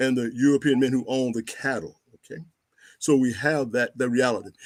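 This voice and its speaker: On a very clean recording with a silent background, a man with an unremarkable speaking voice talks at a fairly quick pace. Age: 60s. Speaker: historian. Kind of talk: interview.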